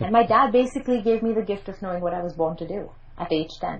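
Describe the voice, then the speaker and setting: A woman speaks very fast in a Mumbai accent. Her voice is somewhat breathy, with lively intonation. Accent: Mumbai private English school. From India, Mumbai. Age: 30s. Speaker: PR and media expert, journalist. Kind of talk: podcast interview.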